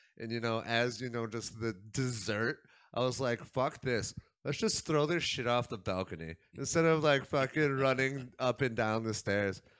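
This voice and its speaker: At a moderate pace and medium pitch, the man speaks in a plain, everyday voice. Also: ordinary pitch variation, very clean recording, silent background. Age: 20s. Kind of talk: casual chat.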